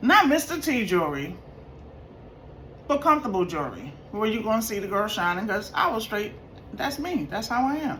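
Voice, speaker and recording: With audible room echo, a woman speaks at a moderate pace in a fairly high voice that swings very widely in pitch. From New York. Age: 50s. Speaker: vlogger. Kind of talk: casual storytelling vlog. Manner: animated.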